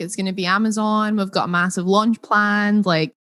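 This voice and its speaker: With a Scottish accent, a woman speaks at a medium pitch and a fairly quick pace in monotone, flat intonation, on a very clean recording with a silent background and a dry, close sound with no echo. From Scotland. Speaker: entrepreneur. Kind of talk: interview.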